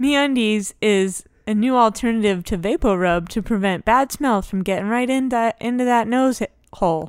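A woman's fairly high-pitched, unremarkable speaking voice on a very clean recording with a silent background. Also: ordinary pitch variation, moderate pace. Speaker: board game podcast co-host. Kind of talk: casual chat. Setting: studio.

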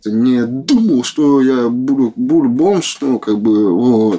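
Very slowly, a man speaks in a medium pitch. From Moscow. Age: 20s. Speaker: homeless man. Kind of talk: interview. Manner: halting.

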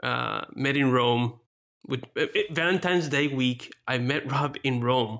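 A man with a Spanish accent at a fairly slow pace, his loudness very even and his intonation fairly even. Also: medium pitch for a man. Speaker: pastor and podcast co-host. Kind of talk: casual podcast chat; spoken prayer.

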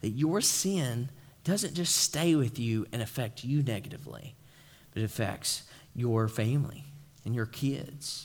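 A somewhat breathy man with an East Tennessee accent and lively intonation. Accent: Southern US (East Tennessee). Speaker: pastor. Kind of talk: sermon. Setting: church. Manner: informal, joking.

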